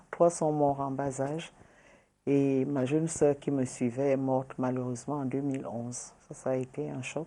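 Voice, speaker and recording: With a dark, mellow tone and a very deep, low pitch, the woman talks at a fairly slow pace in a monotone, flat way. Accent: Nigerian. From Cameroon, south (Ambam). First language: Wodi (speaking French). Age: 60s. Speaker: journalist and politician. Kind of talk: interview.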